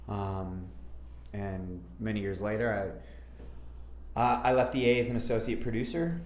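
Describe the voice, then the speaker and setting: Speaking at a moderate pace with long, frequent pauses, a man has an Upper Midwest accent and a fairly low pitch. Room echo is audible. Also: ordinary pitch variation. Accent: Upper Midwest American. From Minnesota, suburbs of Minneapolis. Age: 30s. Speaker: MMA fighter. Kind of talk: interview. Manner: casual, hesitant with fillers.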